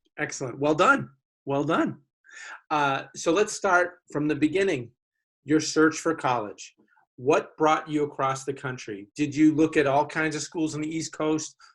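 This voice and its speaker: Speaking slowly-ish at a fairly slow pace, a man with a Boston accent uses a fairly high voice. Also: ordinary pitch variation. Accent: thick Boston. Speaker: college admissions officer, panel moderator. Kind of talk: webinar moderation. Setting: video webinar.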